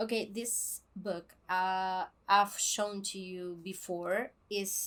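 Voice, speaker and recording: A woman speaks very slowly with a Spanish accent, her medium-pitched voice bright and sharp in tone. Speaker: book vlogger. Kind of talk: casual vlog talk; scripted intro. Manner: halting, many fillers.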